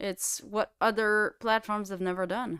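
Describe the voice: A woman speaks at a fairly slow pace with fairly even intonation, her tone fairly bright as well as clear and smooth. The recording is very clean, with a silent background. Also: medium pitch for a woman.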